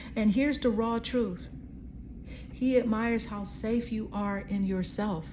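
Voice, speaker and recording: At a very slow pace and with ordinary pitch variation, the voice carries audible room echo. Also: woman. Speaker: tarot card reader. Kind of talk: psychic tarot reading. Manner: casual, conversational.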